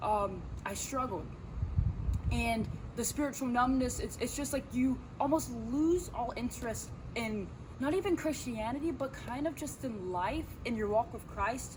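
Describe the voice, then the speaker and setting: Amid noticeable background noise and audible room echo, a woman speaks at a high pitch with ordinary pitch variation. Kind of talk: casual faith talk. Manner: unscripted, hesitant.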